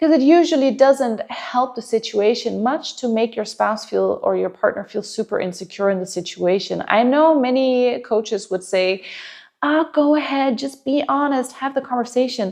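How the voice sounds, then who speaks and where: This woman has a high pitch. She speaks with a Danish accent. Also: ordinary pitch variation, moderate pace. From Denmark. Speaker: relationship coach. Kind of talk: advice monologue to camera. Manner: conversational, with some hesitations.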